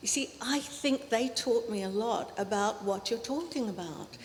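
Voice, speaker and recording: There is noticeable background noise as a woman speaks with an Australian accent. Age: 60s. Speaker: academic. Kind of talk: panel discussion. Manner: halting.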